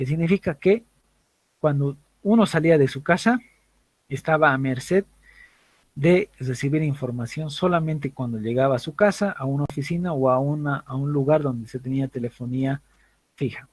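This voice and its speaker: With long, frequent pauses at a moderate pace, a man speaks in a fairly high, somewhat breathy voice over a dry, close sound with no echo. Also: ordinary pitch variation. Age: 30s. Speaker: university lecturer. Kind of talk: lecture.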